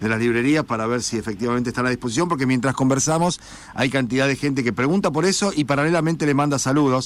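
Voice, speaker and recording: A man talks at a very fast pace with very even loudness and ordinary pitch variation. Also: medium pitch for a man. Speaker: radio host. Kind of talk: radio interview.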